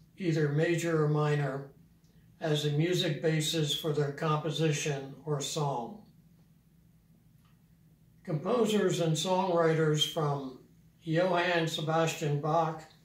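A man's very slow voice, very even in loudness, with fairly even intonation and audible room echo. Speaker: piano teacher. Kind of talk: tutorial. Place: home room.

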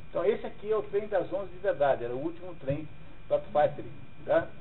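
A man with a Brazilian accent talks at a fairly quick pace. His intonation is lively, and audible room echo surrounds him. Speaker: literature teacher. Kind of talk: lecture.

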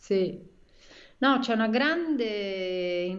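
The speaker is a woman. Her pace is very slow. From Rome, Italy; Italy. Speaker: writer and screenwriter; guest. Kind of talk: casual interview chat. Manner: halting, many fillers and repetitions. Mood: relaxed, smiling. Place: home room. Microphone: video call.

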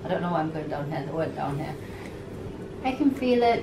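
A woman's voice, with ordinary pitch variation, comes through noticeable background noise. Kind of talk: casual vlog chat. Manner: sore-throated post-surgery patient voice.

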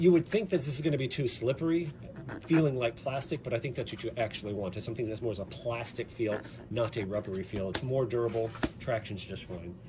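Noticeable background noise sits under the recording. A man races along at a very fast pace. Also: lively intonation. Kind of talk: tutorial. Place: home room. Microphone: phone near.

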